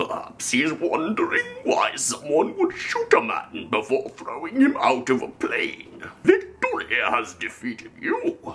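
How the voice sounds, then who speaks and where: A man's put-on character voice at a fairly slow pace with hardly any pauses. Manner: pompous, menacing.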